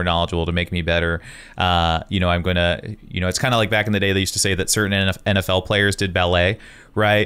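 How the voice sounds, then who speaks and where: At a very fast pace, a man talks in a fairly low pitch. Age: 30s. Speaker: podcast host and wedding photographer; podcast host. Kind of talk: casual chat. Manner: animated. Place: home room. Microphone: studio mic.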